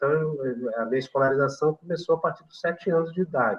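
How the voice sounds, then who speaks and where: A man is speaking here. His pace is fairly quick, with ordinary pitch variation. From Brazil, São João del Rei, Minas Gerais. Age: 60s. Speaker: retired physical education professor. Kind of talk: interview. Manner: halting, many fillers.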